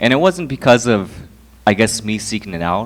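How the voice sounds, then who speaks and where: A man with an American accent and a normal speaking voice. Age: 20s. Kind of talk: talk to an audience.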